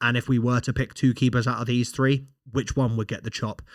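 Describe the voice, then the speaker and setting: A man with a British accent speaks at a fairly quick pace with fairly even intonation, in a dry, close sound with no echo on a very clean recording with a silent background. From Britain. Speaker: football podcast host. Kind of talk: casual commentary monologue. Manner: hesitant, many fillers and repeats.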